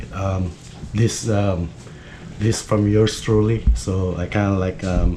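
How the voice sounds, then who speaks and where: Very slow male speech with fairly even intonation over noticeable background noise. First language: Filipino. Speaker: fishing YouTuber. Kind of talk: tutorial. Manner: halting, many fillers.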